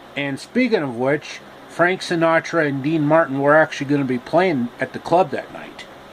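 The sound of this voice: A man's voice sits at a fairly high pitch, and his intonation is lively. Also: moderate pace.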